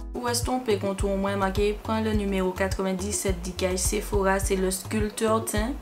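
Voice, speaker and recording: A woman with hardly any pauses and very even loudness, music in the background. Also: fairly slow pace. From Martinique. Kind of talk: makeup tutorial talk to camera. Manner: casual, chatty.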